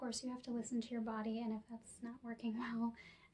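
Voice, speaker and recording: A soft-spoken woman talks at a moderate pace in a calm tone and a high pitch. There is noticeable background noise. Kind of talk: guided relaxation ASMR. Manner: soft-spoken, calm.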